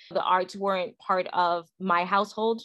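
With an American accent, a woman speaks in an ordinary speaking voice at a moderate pace, her intonation fairly even against a quiet background. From Brooklyn, New York. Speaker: podcast co-host. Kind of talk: casual chat.

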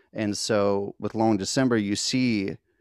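Fairly even intonation comes through in a very clean recording with a silent background and a dry, close sound with no echo. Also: man. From West Virginia. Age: 30s. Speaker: musician. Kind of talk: interview. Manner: halting.

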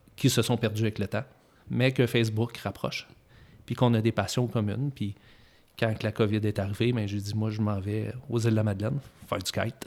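On a very clean recording with a silent background, a man with a Quebec accent speaks fairly quickly at a fairly low pitch, monotone and flat, with long, frequent pauses. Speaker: master car mechanic. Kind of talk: interview.

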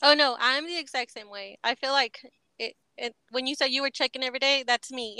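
A woman's raised, projected voice with an American accent, high pitch, bright, sharp tone, fairly even intonation, fairly quick pace and big swings in loudness, in a dry, close sound with no echo. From Texas. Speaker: podcast host. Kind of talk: casual interview.

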